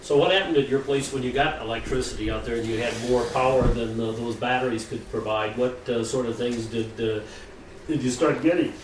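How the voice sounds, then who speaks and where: Noticeable background noise sits behind a man of medium pitch. He speaks at a fairly quick pace with ordinary pitch variation. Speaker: oral history interviewer. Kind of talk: interview questioning.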